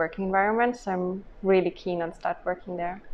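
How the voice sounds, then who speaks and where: A woman's medium-pitched voice, monotone and flat, at a fairly quick pace. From Germany. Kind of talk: interview answer.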